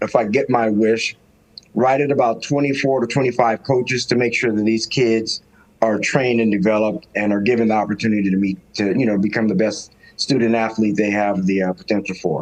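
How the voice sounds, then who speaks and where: This man talks at a fairly quick pace in an ordinary speaking voice, with medium pitch, ordinary pitch variation and very even loudness. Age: 60s. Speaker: high school football coach. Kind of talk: podcast interview.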